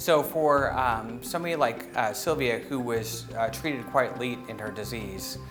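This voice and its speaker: A man at a moderate pace with hardly any pauses and ordinary pitch variation, music in the background. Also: medium pitch for a man. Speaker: neurology professor. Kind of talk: interview answer. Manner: hesitant, many fillers.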